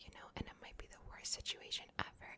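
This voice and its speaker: A woman whispers in a gentle tone. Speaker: ASMR content creator. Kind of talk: ASMR personal talk with positive affirmations to camera. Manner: soft-spoken, gentle, reassuring. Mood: warm, reassuring. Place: home room. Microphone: studio mic.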